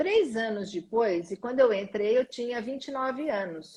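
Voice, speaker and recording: Somewhat breathy and fairly high in pitch, a woman talks at a fairly slow pace with lively intonation. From Brazil, interior of São Paulo state. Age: 60s. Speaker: school director and management consultant. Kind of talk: interview. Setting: live stream.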